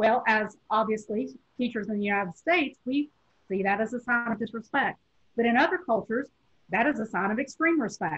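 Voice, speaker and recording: Fairly high-pitched woman's voice at a fairly quick pace, with lively intonation. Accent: strong Southern US. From US South, Tennessee. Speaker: professor. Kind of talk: lecture.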